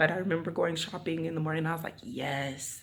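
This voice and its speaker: The voice comes through loud, in an animated tone. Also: woman. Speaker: vlogger. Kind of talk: casual vlog talk. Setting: empty apartment.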